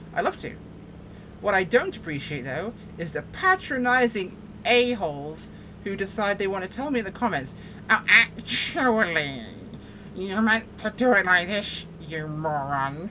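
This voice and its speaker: A woman with an American accent at a fairly slow pace, very wide pitch swings, and noticeable background noise. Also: medium pitch for a woman. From England, Yorkshire. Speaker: flight sim streamer. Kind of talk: casual gameplay commentary. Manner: animated.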